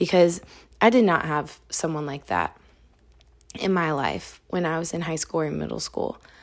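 Speaking at a moderate pace with long, frequent pauses, a woman with a very deep, low pitch, vocal fry and ordinary pitch variation is heard on a very clean recording with a silent background. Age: 20s. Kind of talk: devotional talk. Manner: casual.

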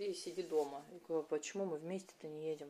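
Speaking very fast, a woman is heard. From Russia, Krasnoyarsk. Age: 30s. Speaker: podcast host, feng shui coach. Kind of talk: spontaneous monologue.

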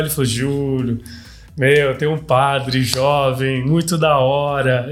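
A man speaks with a fairly high pitch and fairly even intonation. Room echo can be heard. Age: 30s. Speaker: podcast host. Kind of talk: casual interview chat. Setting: studio.

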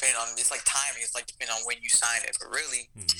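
The voice moves at a fairly quick pace with an American accent. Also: man. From Texas, San Antonio. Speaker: music producer. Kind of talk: casual chat.

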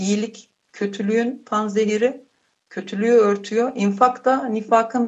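Somewhat breathy and fairly high, a woman's voice moves at a fairly slow pace with ordinary pitch variation. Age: 30s. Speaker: charity volunteer. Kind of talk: casual chat.

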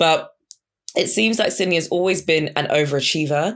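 Speaking at a fairly quick pace, a woman with a very deep, low pitch uses lively intonation and an animated tone, captured in a very clean recording with a silent background. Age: 20s. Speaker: podcast host. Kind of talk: solo commentary podcast.

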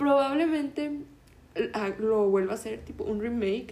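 A woman speaks at a moderate pace with ordinary pitch variation and a fairly high pitch. Noticeable background noise runs under her voice. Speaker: podcast host. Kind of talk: casual monologue; history storytelling. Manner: halting.

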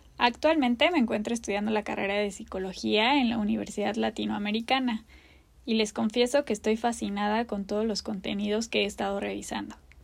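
Fairly quick speech from a woman, fairly high in pitch, with fairly even intonation. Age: 30s. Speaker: podcast host, new mother. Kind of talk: personal monologue.

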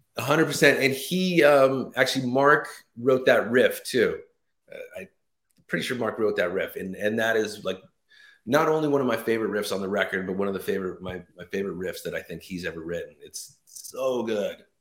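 A man in an ordinary speaking voice with an American accent, medium pitch, a fairly quick pace, lively intonation and big swings in loudness. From Los Angeles, US. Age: 50s. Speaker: rock bassist. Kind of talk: interview. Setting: remote call.

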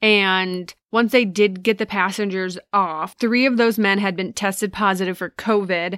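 A woman speaks at a medium pitch and a fairly slow pace with hardly any pauses, in a plain, everyday voice. Her intonation is fairly even, and the recording is very clean with a silent background. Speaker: podcast host. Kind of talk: casual chat.

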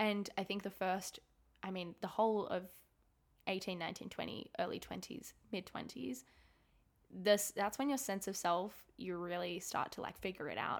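With an Australian accent and ordinary pitch variation, the speaker takes long, frequent pauses. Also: woman, medium pitch for a woman, moderate pace. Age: 20s. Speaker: podcast host, university student. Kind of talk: casual solo chat.

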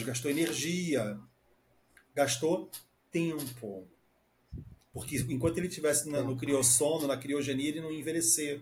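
A man's fairly high voice comes across as somewhat breathy. He moves at a moderate pace with ordinary pitch variation. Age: 30s. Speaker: podcast co-host, psychotherapist. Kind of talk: casual chat.

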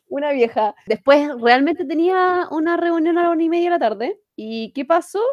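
In a Chilean accent, a woman with an extremely high pitch speaks at a moderate pace with lively intonation and hardly any pauses, the sound dry and close with no echo. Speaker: podcast co-host. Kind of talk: casual chat.

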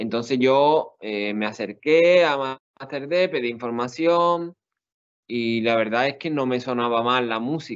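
A very slow pace with ordinary pitch variation. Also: man. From Spain, Seville (Andalusia). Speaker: exam candidate, sociologist. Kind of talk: interview. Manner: halting.

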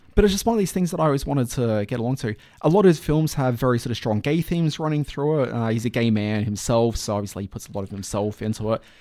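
A man with an Australian accent, medium in pitch and dark and mellow in tone, talking at a very fast pace with lively intonation and hardly any pauses. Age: 30s. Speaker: podcast host. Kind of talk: casual chat.

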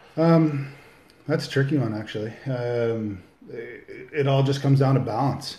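A man's voice, somewhat breathy with a dark, mellow tone, carries fairly even intonation amid audible room echo. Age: 40s. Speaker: plumbing business owner, amateur bodybuilder. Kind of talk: casual interview. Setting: home kitchen. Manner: halting, many fillers.

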